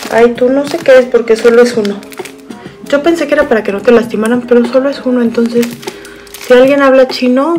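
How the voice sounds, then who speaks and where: A woman's high-pitched voice at a fairly quick pace, with ordinary pitch variation and faint music in the background. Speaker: haul vlogger. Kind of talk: casual vlog chat. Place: home room. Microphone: webcam.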